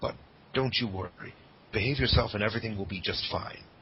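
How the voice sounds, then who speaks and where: Talking very fast, a man uses ordinary pitch variation while noticeable background noise carries on behind him. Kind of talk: dramatic reading of a badly written story, announcer style. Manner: sarcastic, mocking the text with asides.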